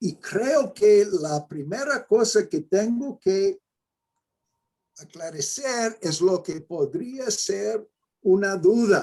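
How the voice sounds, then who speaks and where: With an American accent, a man speaks at a very slow pace in a high pitch, his intonation lively. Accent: non-Mexican, American-accented Spanish. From New Mexico, US. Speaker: mathematics education professor. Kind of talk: lecture. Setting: videoconference.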